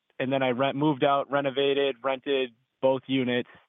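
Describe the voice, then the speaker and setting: Here a man with an American accent speaks at a moderate pace and a medium pitch. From Massachusetts. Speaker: caller, electrician and landlord. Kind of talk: phone-in advice call. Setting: phone call.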